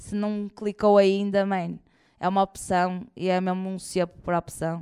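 Medium in pitch and animated in tone, a woman is heard in a very clean recording with a silent background and a dry, close sound with no echo. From northern Portugal, Porto area. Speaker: comedian. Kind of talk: live interview before audience. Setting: stage with audience.

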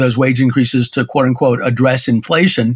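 There is a somewhat breathy quality to the voice. Its pace is fairly quick. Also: man. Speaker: entertainment and technology attorney. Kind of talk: interview explaining labor deal. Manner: halting, many fillers.

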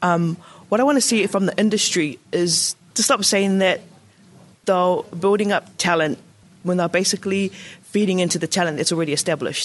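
At a fairly quick pace, a woman with a New Zealand accent speaks in a medium pitch at a very even loudness. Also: ordinary pitch variation, quiet background. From New Zealand, South Auckland. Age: young. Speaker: playwright and director. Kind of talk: interview.

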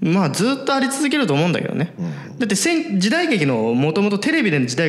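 A man's high voice swings very widely in pitch at a fairly quick pace. Noticeable background noise and audible room echo surround him. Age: 20s. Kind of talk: casual chat.

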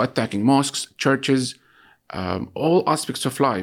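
Fairly slow and with lively intonation, a man with an Arabic accent speaks at a medium pitch on a very clean recording with a silent background. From Gaza City, Palestine. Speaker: journalist. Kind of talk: interview. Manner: hesitant, many fillers.

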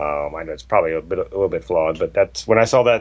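A man talks with ordinary pitch variation. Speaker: poker podcast co-host. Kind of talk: casual banter between co-hosts.

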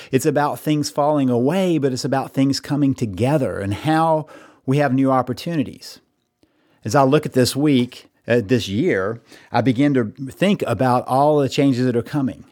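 A man of medium pitch talks in an unremarkable speaking voice. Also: ordinary pitch variation, moderate pace. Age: 50s. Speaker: podcast host and counselor. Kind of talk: solo monologue. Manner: reflective, conversational.

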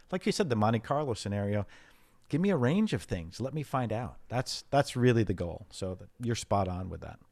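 A plain, everyday voice from a man, medium in pitch, with lively intonation, big swings in loudness and a moderate pace, on a very clean recording with a silent background. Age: 50s. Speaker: data analytics executive. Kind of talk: interview.

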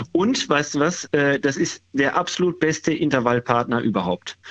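With very wide pitch swings, a man speaks at a fairly high pitch. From Ruhr area, Dortmund. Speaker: caller, amateur runner. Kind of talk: casual chat. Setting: phone call.

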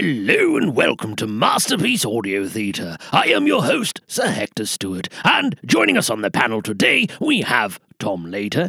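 In a put-on character voice, the speaker sounds raspy and pompous, moving at a moderate pace with hardly any pauses. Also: man, medium pitch for a man. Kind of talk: comic formal announcing. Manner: stiff, pompous, exasperated.

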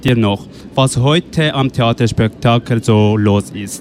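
A man speaks at a very slow pace. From Afghanistan. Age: 20s. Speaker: youth radio workshop participant. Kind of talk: interview; announcements. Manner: halting.

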